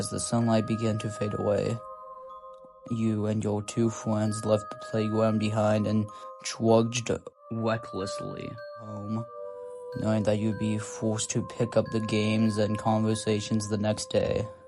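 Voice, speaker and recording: Over music in the background, a man speaks in a flat monotone at a fairly slow pace and a fairly low pitch. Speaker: voice actor. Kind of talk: horror story narration.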